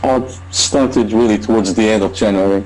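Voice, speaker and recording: A man with a non-native accent talks in fairly even intonation. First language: not English. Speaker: online marketer. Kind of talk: testimony. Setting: video call. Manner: halting.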